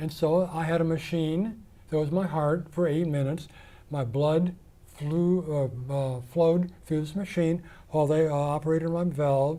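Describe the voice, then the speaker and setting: A man with an American accent, fairly high in pitch, moderately paced and fairly even in intonation. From US Midwest, Iowa (Ames). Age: 60s. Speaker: interview guest, community college alumnus. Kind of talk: interview, personal story.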